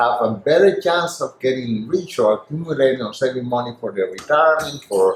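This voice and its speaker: A man with a Spanish accent speaks at a moderate pace with ordinary pitch variation. Noticeable background noise can be heard. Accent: deep Spanish. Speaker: former financial salesperson. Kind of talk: interview.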